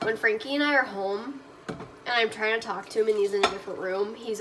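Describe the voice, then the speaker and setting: A woman's fairly high voice, with ordinary pitch variation, moves at a moderate pace through noticeable background noise. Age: 20s. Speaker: vlogger and online clothing reseller. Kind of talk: casual vlog chat. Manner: trying to talk loud.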